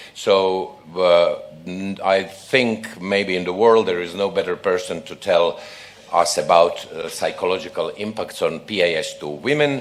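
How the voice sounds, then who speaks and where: Through audible room echo and noticeable background noise, a man speaks at a fairly slow pace with big swings in loudness. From Croatia. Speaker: obstetrics professor and session chair. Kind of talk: conference session introduction.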